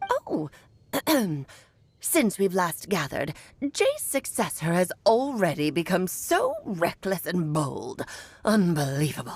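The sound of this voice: A put-on character voice at a fairly slow pace, broken by long, frequent pauses. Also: female-sounding voice, medium pitch for a woman.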